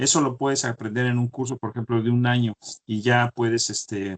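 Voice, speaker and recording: A man speaks in a flat, monotone voice at a moderate pace, with a dry, close sound and no echo. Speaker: chemical engineer. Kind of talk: interview. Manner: halting, many repetitions.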